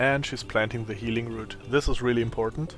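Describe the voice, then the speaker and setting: Someone speaks with a German accent while music plays in the background. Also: man. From Germany. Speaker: gaming youtuber. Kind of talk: let's play commentary.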